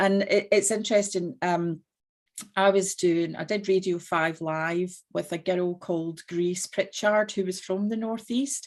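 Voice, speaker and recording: A woman in a strong Scottish accent, medium-pitched, at a fairly slow pace with fairly even intonation, on a very clean recording with a silent background. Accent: Scottish, still strong. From Scotland. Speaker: business owner, entrepreneur. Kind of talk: panel discussion.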